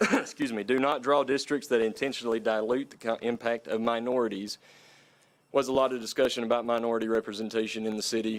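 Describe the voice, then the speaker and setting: In an Appalachian accent, a man rattles off words at a very fast pace, medium in pitch and monotone, flat in intonation. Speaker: redistricting committee member. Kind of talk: public meeting presentation. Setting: city council meeting.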